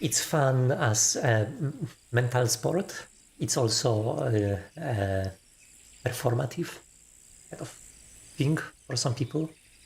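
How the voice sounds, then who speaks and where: A man with a non-native accent talks very slowly, leaving long, frequent pauses. His medium-pitched voice is somewhat breathy, with ordinary pitch variation. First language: not English. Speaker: programmer live-streamer. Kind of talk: casual chat while live-coding. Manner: halting.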